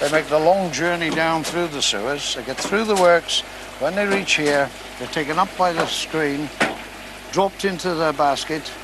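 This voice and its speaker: Against noticeable background noise, a man with a fairly high pitch speaks at a moderate pace in a dry sound with no echo. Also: ordinary pitch variation. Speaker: sewage works staff. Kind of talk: explanatory interview. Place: factory.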